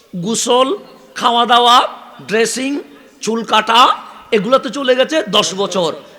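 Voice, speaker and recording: Over noticeable background noise, a man uses a raised, projected voice at an extremely high pitch, with ordinary pitch variation. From Chittagong, Bangladesh. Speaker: Islamic preacher. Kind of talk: sermon. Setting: religious gathering with PA system.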